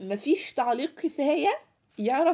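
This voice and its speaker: A woman's voice in an Egyptian accent, with very wide pitch swings. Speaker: podcast host, book reviewer. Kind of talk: casual book review monologue. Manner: halting, many fillers.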